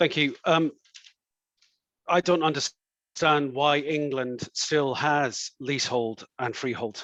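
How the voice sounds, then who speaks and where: A man's fairly high voice with a Scottish accent, at a very slow pace with fairly even intonation, in a dry, close sound with no echo. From Scotland. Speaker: councillor and election candidate. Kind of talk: political hustings answer. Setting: online event.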